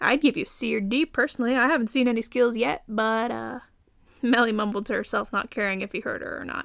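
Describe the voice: Reading aloud, plainly done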